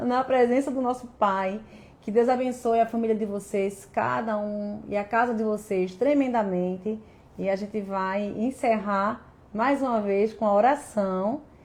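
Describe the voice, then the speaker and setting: Fairly slow and fairly high-pitched, a woman speaks with ordinary pitch variation. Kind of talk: devotional talk. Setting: live stream. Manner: speaks as if tongue-tied.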